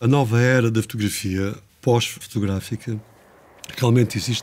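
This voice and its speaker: Fairly even intonation and a moderate pace come through noticeable background noise. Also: man. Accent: European Portuguese. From Portugal. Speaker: photographer. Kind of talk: lecture. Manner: halting.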